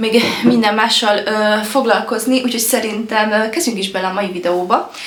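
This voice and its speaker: Against noticeable background noise and audible room echo, a woman speaks with fairly even intonation. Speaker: lifestyle vlogger. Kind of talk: casual vlog talk. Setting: at home. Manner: hesitant, many fillers.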